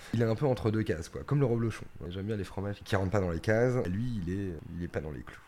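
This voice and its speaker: This man talks at a very fast pace. His pitch is fairly low, with ordinary variation. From Paris region, France. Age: 30s. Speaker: cheesemonger. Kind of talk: casual interview.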